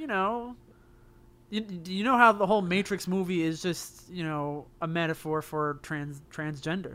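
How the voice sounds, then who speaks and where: A man speaks with a bright, sharp tone and high pitch. His pace is moderate and his pitch variation ordinary. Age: 30s. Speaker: video game podcast co-host. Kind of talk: casual chat.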